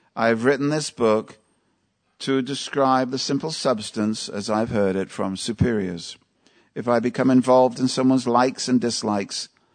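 At a moderate pace, a man speaks in an unremarkable speaking voice with medium pitch and ordinary pitch variation. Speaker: Hare Krishna teacher giving a scripture class. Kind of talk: lecture. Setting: temple hall with live audience. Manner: humorous, interactive.

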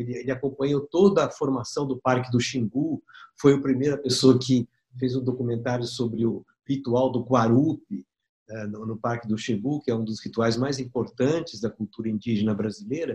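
With a dry, close sound with no echo, a man speaks at a moderate pace in a medium pitch, his dark, mellow tone somewhat breathy and his pitch varying in an ordinary way. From Brazil, São Paulo. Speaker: documentary filmmaker. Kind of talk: interview storytelling.

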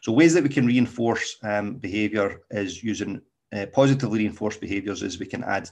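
A man with a Scottish accent at a fairly quick pace, over a quiet background. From Scotland. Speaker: dog trainer. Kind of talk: solo podcast talk. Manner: casual, with many fillers.

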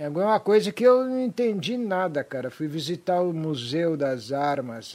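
A man with a plain, everyday voice, lively intonation and a fairly slow pace. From Brazil, raised from age five. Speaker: rock musician. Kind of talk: casual chat.

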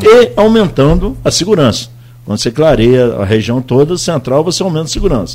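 Speech at a fairly quick pace with very wide pitch swings. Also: man, fairly high pitch for a man. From Brazil, Campos dos Goytacazes. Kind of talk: radio interview.

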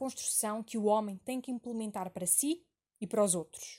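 A woman with an ordinary speaking voice uses a medium pitch, ordinary pitch variation and a moderate pace. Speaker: university student. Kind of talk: scripted narration. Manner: formal.

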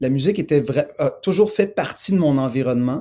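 A man speaks at a fairly slow pace. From Montreal, Quebec. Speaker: musician. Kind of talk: interview. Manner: halting.

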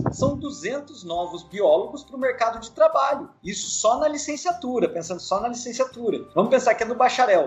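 Against noticeable background noise, a man speaks at an extremely high pitch with very wide pitch swings, big swings in loudness, a moderate pace, and hardly any pauses. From Ubatuba, São Paulo coast, Brazil. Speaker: biologist, wildlife rescue. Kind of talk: casual interview.

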